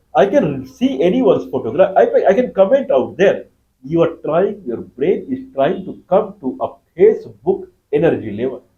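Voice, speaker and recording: Here a man speaks with a Bihari accent at a moderate pace. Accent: Indian (Bihari) English. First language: Magahi. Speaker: YouTube lecturer. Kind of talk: lecture.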